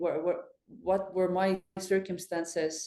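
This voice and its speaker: A woman's medium-pitched voice with an Estonian accent. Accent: Estonian accent, emphasized. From Estonia, island village. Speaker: fintech executive. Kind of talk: podcast interview.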